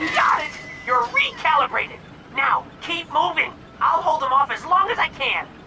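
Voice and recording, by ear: Someone talks at a moderate pace in a cartoonish character voice over clear background noise.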